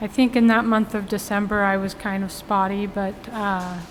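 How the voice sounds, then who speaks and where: A woman at a fairly slow pace and medium pitch, with noticeable background noise. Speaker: vlogger. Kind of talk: casual vlog monologue. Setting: grocery store. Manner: halting.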